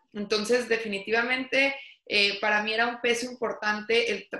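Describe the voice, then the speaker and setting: This woman talks at a fairly quick pace in an ordinary speaking voice. Her pitch sits fairly high, with fairly even intonation. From Mexico, Torreón. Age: 30s. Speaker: entrepreneur. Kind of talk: interview.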